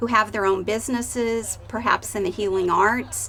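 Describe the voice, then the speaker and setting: A woman's ordinary speaking voice with an American accent, medium pitch and ordinary pitch variation. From Colorado, Boulder. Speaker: social worker. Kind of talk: interview.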